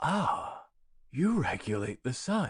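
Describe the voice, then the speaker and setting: This is a put-on character voice. It sounds raspy. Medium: read story.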